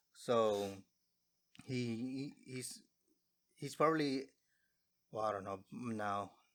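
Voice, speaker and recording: Speaking at a very slow pace, a man leaves long, frequent pauses. His pitch is medium, with ordinary variation. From USA, Guatemalan family. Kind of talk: casual chat.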